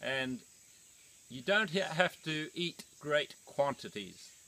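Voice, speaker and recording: Speaking at a very slow pace, a man uses lively intonation and a fairly high pitch. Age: 70s. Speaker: raw food and exercise teacher. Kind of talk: outdoor talk to camera. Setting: outdoors.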